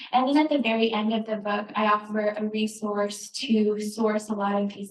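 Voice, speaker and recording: A soft-spoken voice comes through with noticeable background noise. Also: woman. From Northern New Mexico, Navajo. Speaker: cookbook author. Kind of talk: live cooking demonstration. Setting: store event with audience, handheld mic.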